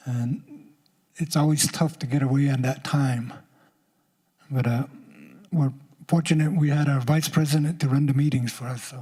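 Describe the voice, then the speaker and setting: Somewhat breathy, a man with a Southwestern US accent speaks at a fairly high pitch. His pace is moderate and his intonation fairly even. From Apache nation, US Southwest. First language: Apache language. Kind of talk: public speech at summit.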